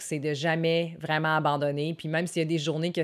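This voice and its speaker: The speaker has a Quebec accent, and the recording is very clean with a silent background. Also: woman. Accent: Québécois French. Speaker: wellness vlogger, former fitness trainer. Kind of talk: casual talk to camera.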